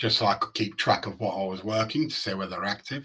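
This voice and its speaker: A man speaks with a Yorkshire accent at a fairly low pitch. His tone is bright and sharp. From Yorkshire, northern England. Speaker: data dashboard developer. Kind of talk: technical presentation with live demo. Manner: casual, with hesitations.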